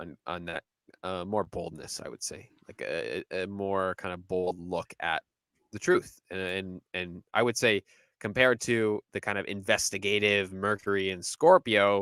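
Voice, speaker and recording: On a very clean recording with a silent background and a dry, close sound with no echo, a man with fairly low pitch speaks at a moderate pace, his intonation fairly even but his loudness swinging widely. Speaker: astrologer. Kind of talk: casual podcast discussion. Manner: halting, many fillers and restarts.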